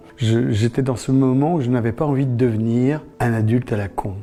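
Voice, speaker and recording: Noticeable background noise sits behind a man at medium pitch. He talks at a moderate pace with ordinary pitch variation. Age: 60s. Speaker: former cult member. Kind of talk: testimony. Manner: halting.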